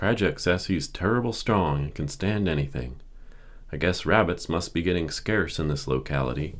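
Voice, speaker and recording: This man talks at a moderate pace with a very deep, low pitch, vocal fry, and lively intonation. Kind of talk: audiobook reading for relaxation. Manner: normal speaking voice, not whispered; gentle.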